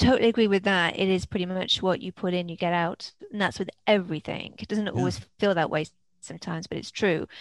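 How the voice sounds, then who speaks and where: A woman with an English accent speaks at a very fast pace, her pitch varying in an ordinary way. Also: medium pitch for a woman. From England (Worcestershire, Wales, London). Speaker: film festival consultant and author. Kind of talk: interview conversation.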